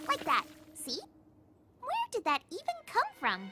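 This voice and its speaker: A squeaky, cartoonish character voice, female-sounding and extremely high, over faint background music. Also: fairly slow pace. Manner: bubbly, upbeat.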